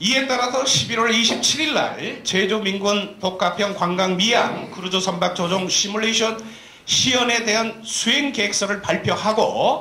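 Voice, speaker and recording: A man with a high pitch projects a raised voice at a fairly slow pace, his loudness very even and his pitch varying in an ordinary way, with audible room echo and noticeable background noise. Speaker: professor and study team leader. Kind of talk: press briefing presentation. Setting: press conference with TV cameras. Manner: formal; slightly trembling voice.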